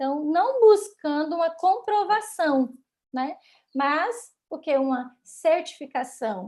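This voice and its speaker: A woman's voice, extremely high in pitch. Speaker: Sabbath school teacher. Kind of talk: Bible lesson teaching.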